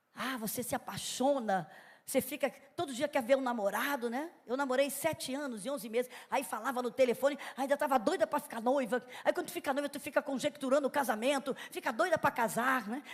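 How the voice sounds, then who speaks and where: The speech moves at a fairly quick pace in an animated tone with ordinary pitch variation. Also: woman, high pitch for a woman. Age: 60s. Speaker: pastor. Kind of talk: sermon. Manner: conversational, animated.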